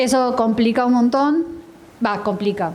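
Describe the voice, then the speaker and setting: Noticeable background noise sits behind this woman. She talks at a moderate pace with a fairly high pitch. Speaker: translator and panelist. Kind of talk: panel discussion.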